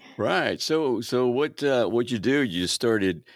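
The recording is very clean, with a silent background. A man with a normal speaking voice talks fairly slowly at a medium pitch, his intonation lively. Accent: American. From Baltimore, Maryland. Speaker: podcast host. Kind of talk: casual interview.

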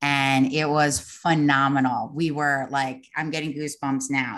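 Speaking with a New York accent, a woman with a very deep, low pitch talks at a moderate pace with fairly even intonation against a quiet background. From Long Island, New York. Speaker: interior designer. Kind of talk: casual interview.

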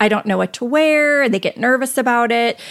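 A woman speaks in a plain, everyday voice with an American accent. Her pitch varies in an ordinary way. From northern US. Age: 50s. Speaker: portrait photographer. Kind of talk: interview.

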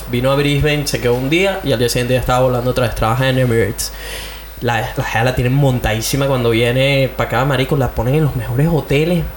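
Over noticeable background noise, a man with a Caracas accent talks at a very fast pace with very even loudness. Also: medium pitch for a man. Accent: Venezuelan Spanish (Caracas). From Venezuela (Caracas). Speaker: podcast host. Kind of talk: casual chat. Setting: home studio. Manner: animated.

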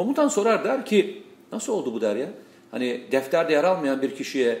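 This man's voice swings very widely in pitch. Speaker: political commentator. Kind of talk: casual political discussion.

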